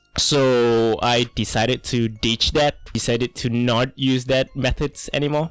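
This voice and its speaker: A man with a Malaysian accent talks at a medium pitch and a fairly slow pace, with hardly any pauses. His intonation is monotone and flat, and his loudness stays very even. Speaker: artist and content creator. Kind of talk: unscripted voiceover monologue. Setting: home desk recording. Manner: halting, with many fillers and restarts.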